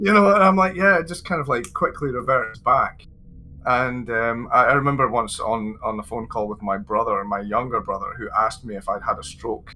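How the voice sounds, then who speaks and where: A man with a slight Scottish accent and music in the background. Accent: mild Scottish. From Scotland. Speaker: English teacher and content creator. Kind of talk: interview chat. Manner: fast by nature.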